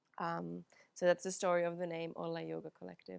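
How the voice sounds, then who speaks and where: A woman with a Finnish accent at a moderate pace, dry, close sound with no echo and a quiet background. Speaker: yoga teacher. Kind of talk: guided yoga class. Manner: calm, soothing.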